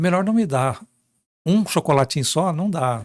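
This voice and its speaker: A man talks with lively intonation in a somewhat breathy voice, recorded very cleanly with a silent background and a dry, close sound with no echo. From Minas Gerais, Brazil. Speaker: journalist. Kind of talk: interview. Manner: animated.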